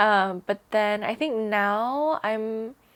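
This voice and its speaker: In a very clean recording with a silent background, a woman with an American accent uses a normal speaking voice at a fairly high pitch, with ordinary pitch variation. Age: 20s. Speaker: English teacher. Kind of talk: interview. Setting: in person.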